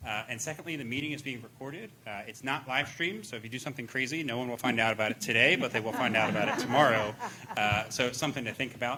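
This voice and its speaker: A man talking very fast, ordinary pitch variation, noticeable background noise behind him. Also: medium pitch for a man. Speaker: township manager. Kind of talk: public meeting presentation.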